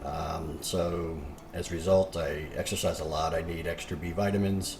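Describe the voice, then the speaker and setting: A man's voice carries audible room echo, with noticeable background noise present too. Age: 60s. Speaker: fitness coach. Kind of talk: tutorial. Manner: casual, frequent fillers.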